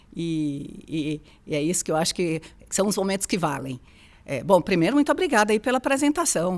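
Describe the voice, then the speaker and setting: With a Bahian accent, a woman of medium pitch talks at a fairly quick pace with very wide pitch swings. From Bahia, Brazil. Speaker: HR executive. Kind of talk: interview conversation.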